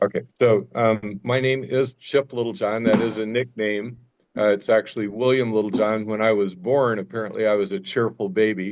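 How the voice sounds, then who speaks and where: A man with a Midwestern American accent and a fairly low voice, with music in the background. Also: fairly even intonation, moderate pace. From US Midwest, Nebraska. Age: 70s. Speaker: cancer survivor guest speaker. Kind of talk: testimony.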